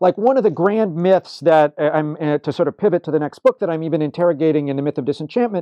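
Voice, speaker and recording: With ordinary pitch variation, a man rattles along at a very fast pace. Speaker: religious studies scholar. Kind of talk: interview. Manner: animated.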